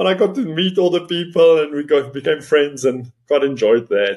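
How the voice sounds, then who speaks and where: A man with an Afrikaans South African accent speaks at a moderate pace with lively intonation. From South Africa, Northern Cape. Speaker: chartered accountant and business owner. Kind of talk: interview, personal story.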